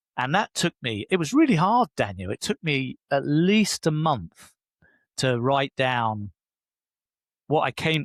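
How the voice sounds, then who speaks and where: A man with a British accent speaks at a fairly slow pace and fairly high pitch, in a dry, close sound with no echo, in a very clean recording with a silent background. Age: 60s. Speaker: leadership coach and author. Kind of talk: podcast interview.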